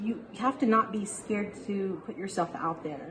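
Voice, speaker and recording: Over noticeable background noise, a woman with an American accent talks at a medium pitch with ordinary pitch variation. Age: 40s. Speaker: business office manager. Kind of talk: interview testimony. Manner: halting.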